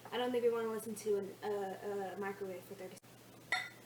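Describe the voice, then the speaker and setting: A woman at a fairly quick pace, with ordinary pitch variation, noticeable background noise and audible room echo. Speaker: cooking video creator. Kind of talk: casual cooking tutorial.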